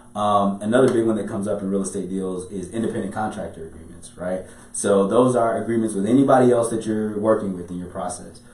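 A man with an American accent talks very fast at a fairly low pitch, with fairly even intonation and big swings in loudness. Audible room echo and noticeable background noise surround him. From Chicago. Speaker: business and real estate attorney. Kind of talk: podcast interview. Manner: talkative.

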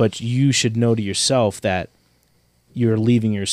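This man has a normal speaking voice, keeping fairly even intonation at a moderate pace. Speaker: podcast host. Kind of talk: casual chat.

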